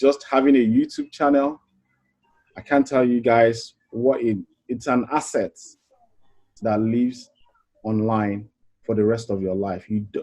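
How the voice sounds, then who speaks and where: A man at medium pitch with a dark, mellow tone speaks in a fairly even intonation, leaving long, frequent pauses. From Africa. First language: not English. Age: 40s. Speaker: online business coach. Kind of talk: webinar pitch. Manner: hesitant with fillers.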